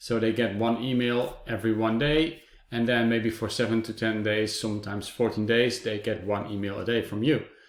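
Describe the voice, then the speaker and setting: With a non-native accent, a man keeps a moderate pace and fairly even intonation, leaving hardly any pauses. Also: medium pitch for a man. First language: not English. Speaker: software reviewer. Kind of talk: product review. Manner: hesitant, many fillers.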